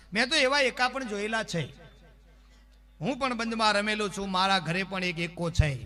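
A man's raised, projected voice, high in pitch, with lively intonation. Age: 40s. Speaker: folk comedian. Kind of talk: stand-up.

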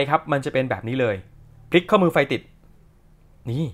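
A man is speaking. His pitch swings very widely. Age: 30s. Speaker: watch shop owner and reviewer. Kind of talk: product review. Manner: casual, chatty.

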